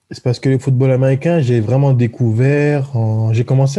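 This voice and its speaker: A man's somewhat breathy, dark and mellow voice at medium pitch, with ordinary pitch variation, a moderate pace and a quiet background. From southern France (Marseille area), born in French Guiana. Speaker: professional football player. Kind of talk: interview.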